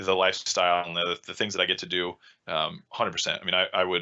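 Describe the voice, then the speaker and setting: A man with a very deep, low pitch talks at a very fast pace in an American accent. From Texas, Austin. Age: 30s. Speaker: rally driving school owner and instructor. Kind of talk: podcast interview. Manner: halting, many repeated words.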